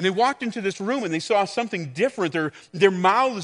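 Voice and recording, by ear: Natural-voiced reading aloud, with lively intonation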